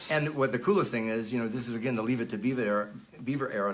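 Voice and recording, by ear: Audible room echo surrounds the speech. The pace is fast, with ordinary pitch variation. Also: man.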